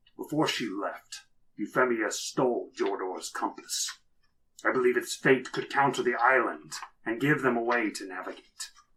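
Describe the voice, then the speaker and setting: A man puts on a character voice. He speaks at medium pitch and a moderate pace. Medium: actual play. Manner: commanding, deliberate.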